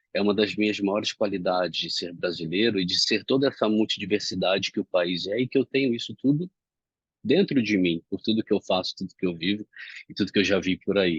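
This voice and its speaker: A man's fairly low-pitched voice at a fairly quick pace, with ordinary pitch variation and a dry, close sound without echo. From Brazil, Rio de Janeiro. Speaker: self-development speaker. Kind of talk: reflective monologue. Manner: not loud, calm.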